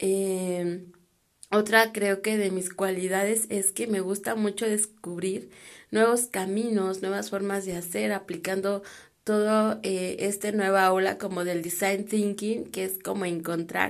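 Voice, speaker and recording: A woman of medium pitch speaks in a monotone with flat intonation. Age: 30s. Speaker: designer and podcaster. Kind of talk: casual monologue. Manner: hesitant with fillers.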